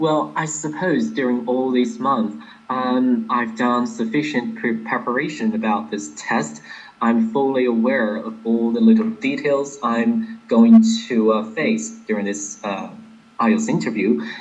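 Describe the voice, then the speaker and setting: A man with an American accent at medium pitch, fairly slow and lively in intonation, amid noticeable background noise and audible room echo. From Inner Mongolia, China. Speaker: exam candidate. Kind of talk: interview. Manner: clear, careful enunciation.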